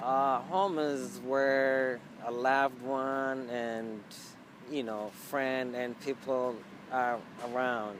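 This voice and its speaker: A man speaks with a non-native accent. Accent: foreign. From Ethiopia. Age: 30s. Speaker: immigrant interviewee. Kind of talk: interview. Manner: halting, many fillers.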